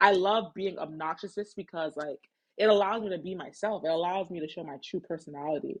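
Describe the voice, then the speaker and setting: A woman's medium-pitched voice, with ordinary pitch variation, races along at a very fast pace. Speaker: podcast host. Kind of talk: solo podcast monologue. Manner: loud; casual, filler-heavy.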